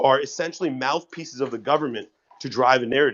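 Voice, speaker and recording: A man talks in an ordinary speaking voice at a fairly quick pace, his pitch varying in an ordinary way. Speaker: online news commentator. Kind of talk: news commentary.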